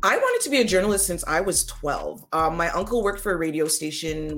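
A woman with a Toronto accent talks at a very fast pace. Her pitch is fairly low, with ordinary pitch variation. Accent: Canadian English, Toronto. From Canada, Toronto. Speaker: front-end web developer. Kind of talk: interview.

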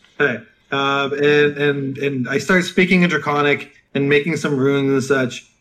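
A man with a fairly high pitch talks at a moderate pace in an unremarkable speaking voice. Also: fairly even intonation. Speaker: player. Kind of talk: casual roleplaying game chat.

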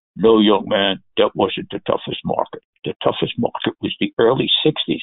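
In a put-on character voice, a man talks at a moderate pace with a gravelly sound.

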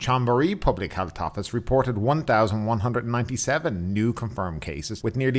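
A man with a normal speaking voice, lively intonation and a fairly quick pace. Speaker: news podcast host. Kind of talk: news reading, scripted-style bulletin with COVID figures. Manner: formal, steady, even-paced newsreader delivery.

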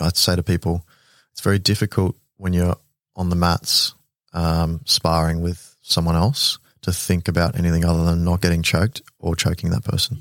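Recorded very cleanly against a silent background, a man speaks with an Australian accent at a very deep, low pitch. He keeps a moderate pace and fairly even intonation, with long, frequent pauses. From Queensland, Australia (Ipswich), raised in military postings. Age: 30s. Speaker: air force officer and veteran nonprofit founder. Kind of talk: casual interview chat. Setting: studio.

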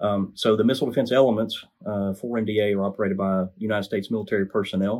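A man talks with an American accent. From Alabama, US South. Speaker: missile defense engineer and project manager. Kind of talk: interview, technical explanation.

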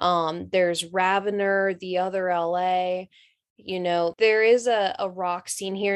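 This woman's medium-pitched voice comes through against a quiet background. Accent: Southern US. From North Carolina. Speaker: rock singer. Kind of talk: interview.

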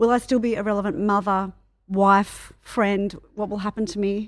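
On a very clean recording with a silent background, a woman with an Australian accent and a medium pitch speaks at a fairly quick pace in a monotone, flat way. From Australia, Melbourne. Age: 40s. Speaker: PR and marketing business owner. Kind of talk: casual chat. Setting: office meditation room.

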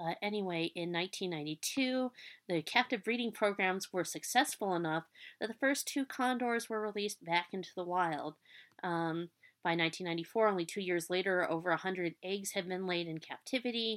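Over a silent background in a very clean recording, a woman at a medium pitch talks at a fairly quick pace with ordinary pitch variation. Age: 30s. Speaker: podcast host and student. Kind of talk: solo educational podcast. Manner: hesitant with many fillers.

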